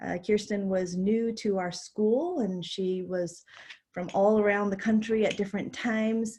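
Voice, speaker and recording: Somewhat breathy, a woman's medium-pitched voice moves at a fairly slow pace with fairly even intonation. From immigrant, raised in New York City. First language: not English. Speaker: dean of students, keynote speaker. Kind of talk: keynote presentation. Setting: virtual conference.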